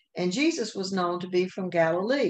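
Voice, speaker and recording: A woman speaks with a Southern US accent. Her pitch varies in an ordinary way. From US South. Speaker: Sunday school teacher. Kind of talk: Bible lesson. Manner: occasional hesitations.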